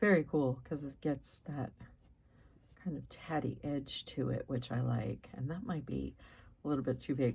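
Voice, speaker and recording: A woman's very deep, low voice with vocal fry, ordinary pitch variation, and a moderate pace. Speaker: crafting YouTuber. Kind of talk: tutorial. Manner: casual with frequent fillers.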